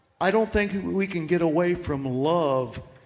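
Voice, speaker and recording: Audible room echo and noticeable background noise accompany a man speaking at a fairly high pitch. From Florida. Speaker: singer-songwriter. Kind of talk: casual stage chat. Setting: stage with audience.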